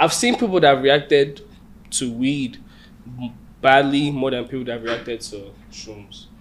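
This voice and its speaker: A man with an American accent speaks fairly slowly at a medium pitch, with ordinary pitch variation. Long, frequent pauses and big swings in loudness run through his speech. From Nigeria, Lagos. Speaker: musician. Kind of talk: casual chat.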